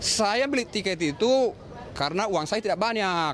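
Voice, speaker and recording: Against crowd noise in the background, a man speaks at a high pitch, and the sound is dry with no echo. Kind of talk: interview answer. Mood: worried, complaining. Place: station. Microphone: handheld.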